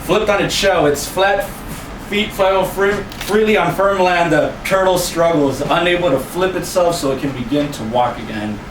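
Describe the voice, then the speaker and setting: A man talks at a moderate pace in a high pitch with lively intonation, his voice carrying audible room echo amid noticeable background noise. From Mexico, Los Mochis, Sinaloa. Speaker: poet. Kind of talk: spoken word poetry.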